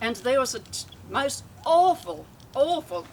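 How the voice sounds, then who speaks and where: With an Australian accent and lively intonation, a woman speaks over noticeable background noise. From Australia, north Queensland. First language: Yugoslav (Croatian). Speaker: family elder speaking at a reunion. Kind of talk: reminiscing speech. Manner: halting.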